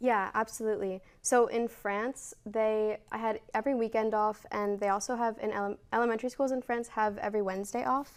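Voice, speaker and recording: A woman with an American accent and a fairly high pitch talks at a fairly quick pace with hardly any pauses and fairly even intonation, in a normal speaking voice, on a very clean recording with a silent background. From United States. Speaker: university student, former teaching intern. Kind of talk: interview. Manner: casual, filler-heavy.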